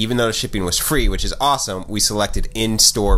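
The man's intonation is lively. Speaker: vlogger. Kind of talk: casual vlog chat. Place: office. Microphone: phone near.

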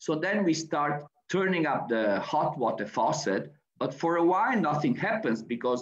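Speaking in an Italian accent, a man moves at a moderate pace with lively intonation. Audible room echo surrounds him against a quiet background. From Italy. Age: 60s. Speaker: architect and university professor. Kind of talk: lecture. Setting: video call. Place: home room. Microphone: webcam.

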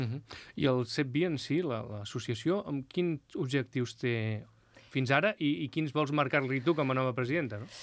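At a fairly slow pace, a man talks in a medium pitch with ordinary pitch variation and a dry sound with no echo. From Catalonia. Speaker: local TV interviewer. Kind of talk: interview. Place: studio. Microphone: studio mic.

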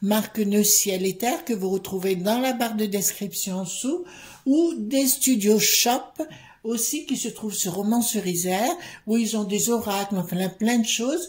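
A woman talks fairly slowly, with ordinary pitch variation. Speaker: card reader. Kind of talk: casual vlog commentary. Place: home room. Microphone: phone near.

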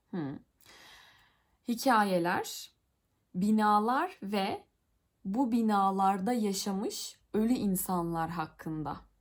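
Lively intonation from a woman at a medium pitch, in a very clean recording with a silent background. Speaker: YouTuber, Italian learner. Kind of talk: reading aloud with translation. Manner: halting.

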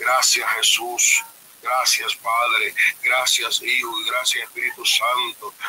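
A man talks very slowly, with light background noise behind him. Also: very even loudness. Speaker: pastor praying on live stream. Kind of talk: fervent prayer. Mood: devout, calm prayer. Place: home room. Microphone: webcam.

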